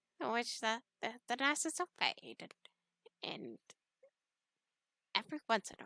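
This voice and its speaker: Speaking at a fairly slow pace, a woman with a fairly high pitch and vocal fry sounds dry and close, with no echo. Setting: raw audio with a poor microphone, no visuals. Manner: hesitant, stumbling, repeating words.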